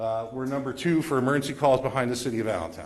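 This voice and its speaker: The man's voice is somewhat breathy, with ordinary pitch variation. He speaks at a very fast pace. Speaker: EMS agency representative. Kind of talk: presentation at township meeting. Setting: public community meeting.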